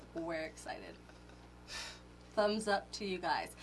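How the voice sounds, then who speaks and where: The pace is moderate. Noticeable background noise sits under the voice. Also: woman. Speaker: podcast co-host. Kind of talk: casual chat.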